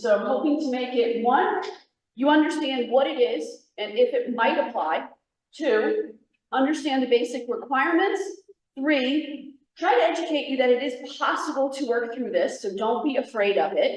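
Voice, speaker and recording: A loud woman's voice, high in pitch, with lively intonation, a moderate pace and audible room echo. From New York. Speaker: federal agency presenter. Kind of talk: workshop presentation.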